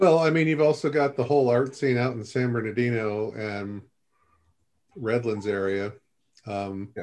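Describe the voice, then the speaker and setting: A man with a medium pitch talks at a moderate pace. He pauses long and often, with ordinary pitch variation. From Southern California, Upland. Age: 50s. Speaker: writer and educator. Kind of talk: casual discussion.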